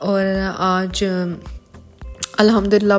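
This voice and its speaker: In a monotone, flat delivery, a woman speaks at a fairly slow pace against noticeable background noise. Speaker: lifestyle vlogger. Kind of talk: casual vlog narration.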